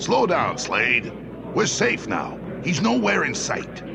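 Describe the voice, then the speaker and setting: Over loud background noise, a man does a put-on character voice at a high pitch and a fairly slow pace. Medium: audio drama. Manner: gruff, tough-guy slang.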